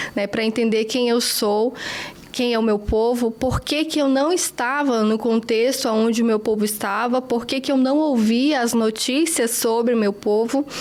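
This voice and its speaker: A woman speaks at a fairly slow pace in a fairly high voice, her intonation fairly even and her loudness very even. Noticeable background noise runs beneath her. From Brazil, northern region (Acre / Rondônia). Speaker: journalist. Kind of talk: interview.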